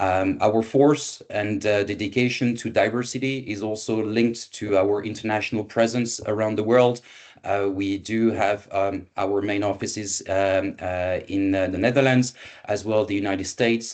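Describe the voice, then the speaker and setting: With a French accent, a man speaks at a moderate pace and a fairly low pitch over a quiet background. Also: fairly even intonation. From France. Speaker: event moderator for a recruitment agency. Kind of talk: online presentation. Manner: halting with many fillers.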